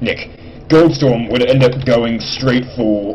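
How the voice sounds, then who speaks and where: A man with a British accent talks at a medium pitch with ordinary pitch variation. Noticeable background noise and audible room echo run through the recording. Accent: put-on British accent, slips in. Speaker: gaming commentator. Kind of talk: game commentary. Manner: casual, rambling.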